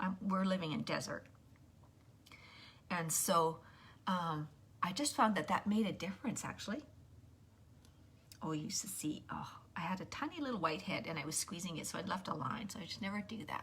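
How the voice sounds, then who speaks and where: A woman with a medium-pitched voice talks at a fairly quick pace and with lively intonation, leaving long, frequent pauses. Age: 60s. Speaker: makeup tutorial livestreamer. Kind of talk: livestream makeup tutorial. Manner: casual, chatty with hesitations.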